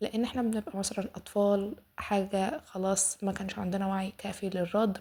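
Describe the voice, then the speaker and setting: Somewhat breathy, a woman with an Egyptian accent speaks at a fairly slow pace. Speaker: self-development podcaster. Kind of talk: casual self-help podcast talk.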